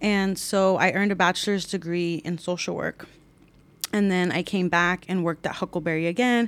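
In a very clean recording with a silent background, an unremarkable speaking voice talks at a moderate pace with fairly even intonation. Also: woman, medium pitch for a woman. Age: 30s. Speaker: youth commission coordinator. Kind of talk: interview.

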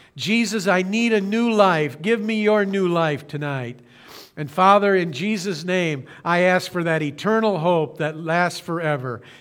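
A high-pitched man with an American accent talks at a fairly slow pace with ordinary pitch variation. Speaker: pastor. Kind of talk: sermon. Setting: streamed church service, broadcast. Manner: earnest.

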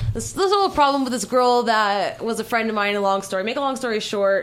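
A woman with an American accent, fairly high in pitch, with ordinary pitch variation. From Southern California. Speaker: adult film performer. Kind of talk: casual chat. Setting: radio studio.

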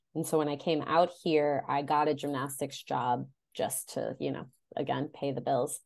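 In an American accent, a woman speaks at a moderate pace with vocal fry and very deep, low pitch. Her intonation stays flat and monotone against a quiet background. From Chicago area, Illinois (US Midwest). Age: 30s. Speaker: romance novelist. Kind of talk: casual interview chat.

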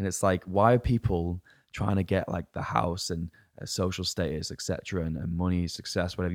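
A man with an English accent speaks at a very deep, low pitch and a moderate pace, his intonation fairly even. The recording is very clean with a silent background and a dry, close sound without echo. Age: 20s. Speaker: fitness coach. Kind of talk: casual chat.

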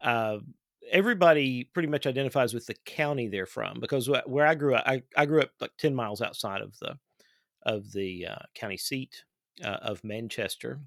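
A man talks at a moderate pace with an Appalachian accent and lively intonation. The recording is very clean with a silent background. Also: medium pitch for a man, dry, close sound with no echo. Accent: Appalachian Kentucky. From Eastern Kentucky. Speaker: podcast host. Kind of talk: interview conversation.

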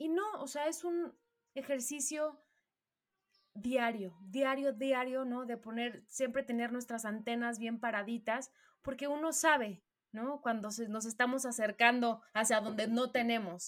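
In a Mexican accent, a woman speaks at a high pitch with ordinary pitch variation. Her pace is fairly slow. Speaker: podcast co-host. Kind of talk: casual interview.

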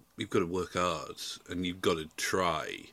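A man's fairly low, bright and sharp voice with a Yorkshire accent at a moderate pace, on a very clean recording with a silent background. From South Yorkshire, England. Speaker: music journalist and podcaster. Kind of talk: casual chat.

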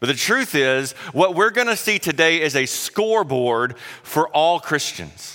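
With a Southern US accent, a man speaks at a high pitch in a bright, sharp tone. His intonation is lively. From South Carolina. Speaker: guest preacher. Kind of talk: sermon. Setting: church.

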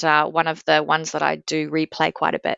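A woman is speaking. Her pace is fairly slow. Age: 40s. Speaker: pop music fan. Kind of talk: casual chat. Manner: halting, many fillers.

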